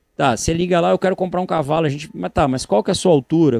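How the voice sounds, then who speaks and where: A man with a fairly high pitch talks at a very fast pace with ordinary pitch variation. The sound is dry and close with no echo against a quiet background. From Brazil, Florianópolis, Santa Catarina. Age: 40s. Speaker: horse breeder. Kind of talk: podcast interview. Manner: animated.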